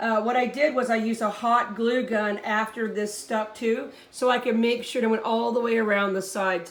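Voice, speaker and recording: The speech moves at a moderate pace with hardly any pauses and fairly even intonation. Audible room echo and noticeable background noise are present. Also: woman, fairly high pitch for a woman. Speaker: hobbyist insect breeder. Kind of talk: tutorial. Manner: casual, with fillers.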